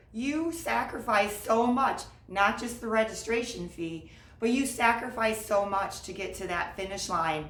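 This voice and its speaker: Against noticeable background noise, a woman with a fairly high voice speaks in an upbeat tone with ordinary pitch variation. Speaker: marathon coach. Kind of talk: casual talk to camera.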